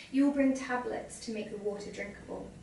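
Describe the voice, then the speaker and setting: Her intonation stays fairly even. The woman is heard over noticeable background noise. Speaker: short story writer. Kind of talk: short story reading. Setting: live reading event.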